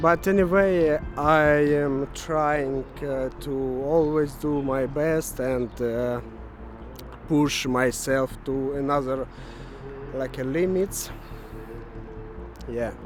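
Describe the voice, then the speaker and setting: A man with a fairly high pitch speaks at a very slow pace, with fairly even intonation. Long, frequent pauses break up his speech over noticeable background noise. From Ukraine. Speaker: web developer vlogger. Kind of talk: casual vlog monologue. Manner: halting, many fillers.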